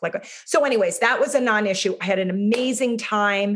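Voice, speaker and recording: A woman's ordinary speaking voice at a medium pitch and fairly quick pace, with ordinary pitch variation. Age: 50s. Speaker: yoga teacher, coaching client. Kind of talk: interview testimony.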